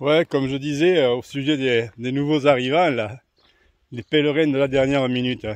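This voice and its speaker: The delivery has fairly even intonation and moves at a moderate pace. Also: man. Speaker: pilgrim vlogger. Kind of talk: walking vlog monologue. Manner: casual, hesitant with fillers.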